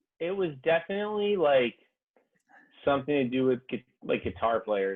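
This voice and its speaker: A man with an American accent talks with ordinary pitch variation. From Connecticut, US. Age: 20s. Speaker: rapper and musician. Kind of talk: interview.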